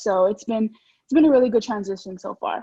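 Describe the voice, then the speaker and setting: Someone with an American accent talks at a fairly quick pace in a somewhat breathy voice. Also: woman. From Texas, San Antonio. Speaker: student newspaper editor. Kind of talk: interview. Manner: fast; animated.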